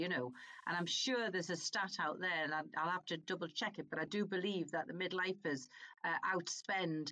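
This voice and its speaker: A woman at a medium pitch and moderate pace, her tone bright and sharp. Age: 50s. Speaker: podcast host, coach. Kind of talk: interview.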